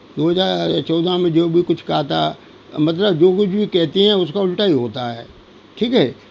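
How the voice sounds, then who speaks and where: This man's voice is high-pitched for a man, with ordinary pitch variation. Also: moderate pace. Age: 70s. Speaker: temple head and retired government officer. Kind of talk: monologue commentary. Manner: halting, many fillers.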